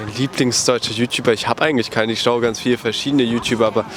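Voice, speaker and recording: This man talks at a medium pitch. There is noticeable noise in the background. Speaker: passerby interviewee. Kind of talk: street interview. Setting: outdoors on the street. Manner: casual, hesitant.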